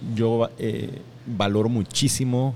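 Talking at a very slow pace, a man with a Guatemalan accent shows ordinary pitch variation. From Guatemala, Escuintla. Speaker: chef, restaurant owner. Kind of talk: interview. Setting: restaurant.

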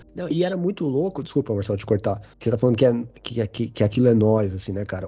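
A man speaks in a somewhat breathy voice. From São Paulo south zone (Grajaú), Brazil. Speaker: teacher and runner. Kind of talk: casual chat.

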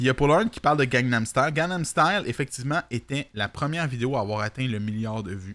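On a very clean recording with a silent background, a man with an ordinary speaking voice talks at a fairly quick pace and medium pitch, his intonation lively and his speech almost free of pauses. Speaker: streamer and talk show host. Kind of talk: casual chat. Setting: live stream.

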